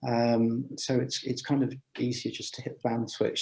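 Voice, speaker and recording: With music in the background, a man keeps to a moderate pace. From England, Gloucestershire. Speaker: amateur radio speaker. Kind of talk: Q&A after a talk. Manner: hesitant, many fillers.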